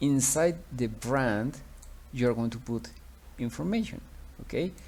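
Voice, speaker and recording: A man speaks in a Spanish accent. His pace is very slow. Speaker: teacher. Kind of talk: tutorial. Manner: halting, many fillers.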